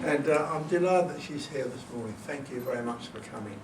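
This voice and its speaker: A man at a moderate pace with lively intonation, amid noticeable background noise and audible room echo. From northern England. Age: 80s+. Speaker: author and composer. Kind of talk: talk to an audience. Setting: event with audience. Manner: halting.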